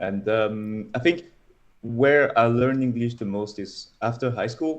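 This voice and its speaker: Speaking with a French accent, a man talks at a fairly slow pace and medium pitch with ordinary pitch variation. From France. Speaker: data scientist. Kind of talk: casual interview.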